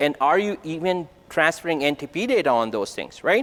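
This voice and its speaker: Here a man talks at a high pitch and a fairly quick pace. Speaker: conference presenter. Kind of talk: technical conference talk. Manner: fast; casual, conversational. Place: hall.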